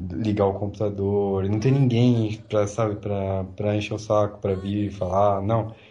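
A man's fairly low, dark, mellow voice at a fairly slow pace, monotone and flat in intonation, with hardly any pauses and audible room echo. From São Paulo, Brazil. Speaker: product manager, Brazilian expat. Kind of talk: casual chat.

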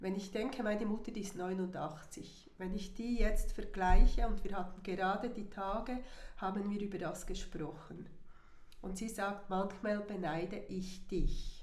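A woman with a medium-pitched voice talks at a fairly slow pace and with fairly even intonation. The recording has audible room echo and noticeable background noise. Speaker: retiree, guest. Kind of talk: casual chat.

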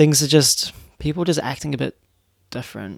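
The speaker has a New Zealand accent. The pace is moderate. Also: man. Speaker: solo podcaster and YouTuber. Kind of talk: casual solo monologue. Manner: halting, many fillers and restarts.

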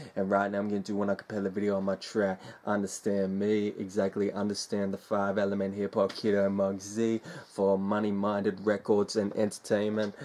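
In an Australian accent, a man speaks at a fairly quick pace, his fairly low voice dark and mellow in tone. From Australia, Sydney. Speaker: hip hop artist. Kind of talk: casual interview monologue. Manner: animated.

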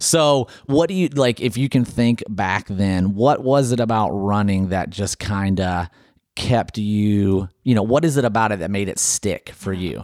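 In a very clean recording with a silent background, a man speaks with an American accent at a fairly low pitch. His pace is fairly slow, and his pitch varies in an ordinary way. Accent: slight Southern accent noticed by outsiders. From Ohio. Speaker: podcast host, runner. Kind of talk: casual interview. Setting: studio, in person.

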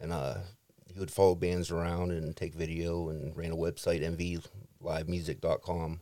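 A man's very deep, low voice with an American accent, dark and mellow in tone, at a moderate pace, on a very clean recording with a silent background. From Warren, Ohio. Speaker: keyboardist in a band.

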